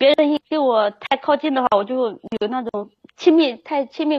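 Her pitch shifts in an ordinary way. The woman's voice sits high. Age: 20s. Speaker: caller seeking relationship advice. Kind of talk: call-in advice chat.

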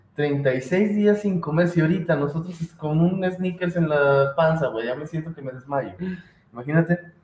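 A man with a fairly high pitch at a moderate pace, with ordinary pitch variation, big swings in loudness, and noticeable background noise. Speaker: podcast co-host. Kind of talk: casual chat.

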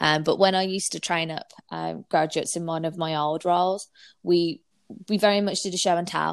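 On a very clean recording with a silent background, a woman talks with a Brummie accent. Her fairly low voice stays monotone and flat at a moderate pace. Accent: Birmingham (Brummie). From Birmingham, England. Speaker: digital marketing agency owner. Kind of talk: interview.

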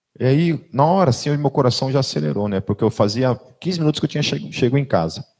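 Somewhat breathy and at a very fast pace, a man with medium pitch talks with lively intonation in a dry, close sound with no echo. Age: 40s. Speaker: pastor. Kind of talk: sermon. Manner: conversational.

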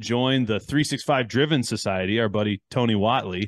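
A man with an American accent speaks at a moderate pace and medium pitch, in an unremarkable speaking voice. His pitch variation is ordinary. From US Midwest (Chicago, Detroit). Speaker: podcast host and engineer. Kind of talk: casual interview chat.

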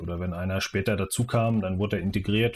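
Somewhat breathy and fairly low in pitch, this man speaks in a monotone with flat intonation. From Mecklenburg-Vorpommern, Schwerin. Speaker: football coach educator. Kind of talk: interview.

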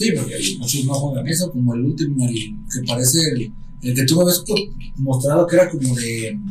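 A man with a Mexican accent, fairly high in pitch, with lively intonation and a fairly quick pace, amid noticeable background noise and audible room echo. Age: 30s. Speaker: podcast host. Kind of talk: casual chat. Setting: home studio.

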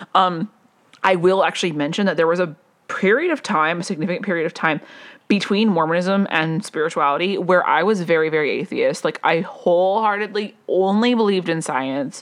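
An unremarkable speaking voice with an American accent. It moves at a fairly quick pace with ordinary pitch variation. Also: woman. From US West (Las Vegas). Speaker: podcast host, personal growth coach. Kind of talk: solo monologue, personal storytelling. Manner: casual, many fillers and self-corrections; laughs often.

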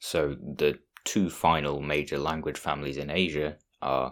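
A man's very deep, low-pitched voice with vocal fry. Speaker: solo podcast host. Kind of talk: solo podcast monologue on languages.

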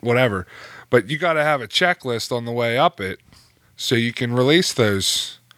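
A man with an American accent speaks at a moderate pace and medium pitch, in an ordinary speaking voice. The recording is very clean with a silent background. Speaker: podcast co-host in recovery. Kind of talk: casual chat. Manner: laughs often.

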